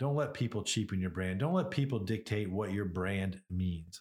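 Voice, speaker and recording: A man with a somewhat breathy voice talks fairly slowly, his pitch swinging very widely. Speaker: beef marketing podcaster. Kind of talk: solo podcast monologue. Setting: solo podcast recording. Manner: casual, rambling, conversational.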